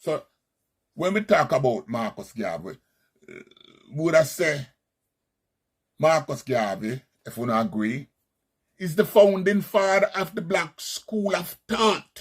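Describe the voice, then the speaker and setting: With a Jamaican accent, a man talks at a fairly slow pace with long, frequent pauses, a high pitch that swings very widely and big swings in loudness. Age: 60s. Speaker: Rastafarian commentator. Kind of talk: monologue commentary.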